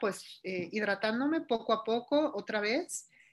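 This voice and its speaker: This woman's speech has ordinary pitch variation, captured in a very clean recording against a silent background. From Mexico. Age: 40s. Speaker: ultramarathon runner. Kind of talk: interview.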